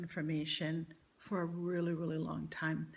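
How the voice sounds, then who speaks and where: Her voice is somewhat breathy and fairly low in pitch. The woman talks at a fairly slow pace. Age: 60s. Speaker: vlogger sharing weight-loss surgery journey. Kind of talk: personal vlog monologue. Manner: hesitant, many fillers.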